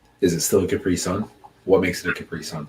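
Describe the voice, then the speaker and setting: A man speaks in a very deep, low voice. Background noise is noticeable behind him. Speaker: live streamer. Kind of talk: casual chat. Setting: live stream. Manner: loud.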